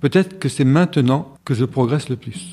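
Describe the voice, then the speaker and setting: A man's somewhat breathy, dark, mellow voice at a moderate pace with ordinary pitch variation, on a very clean recording with a silent background. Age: 70s. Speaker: executive coach and supervisor. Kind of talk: interview.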